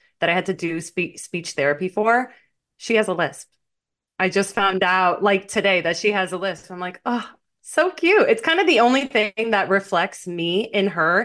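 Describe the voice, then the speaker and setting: A woman with an American accent and a normal speaking voice, medium pitch, ordinary pitch variation, moderate pace, quiet background. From Miami, US. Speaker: podcast co-host. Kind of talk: casual chat.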